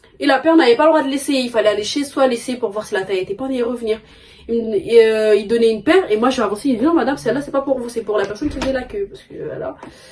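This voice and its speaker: Over noticeable background noise, a woman talks at a very fast pace. Her pitch is high, with ordinary pitch variation. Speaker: sneaker YouTuber. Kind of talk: casual vlog storytelling. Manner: stammering.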